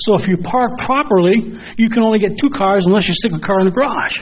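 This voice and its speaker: A high-pitched man amid noticeable background noise. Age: 70s. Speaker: resident speaking at public comment. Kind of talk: public comment at board meeting. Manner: halting.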